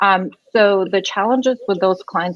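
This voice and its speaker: A woman at a moderate pace, with ordinary pitch variation and a slight non-native accent. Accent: slight foreign. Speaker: immigration lawyer. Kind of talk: podcast interview. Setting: live video podcast.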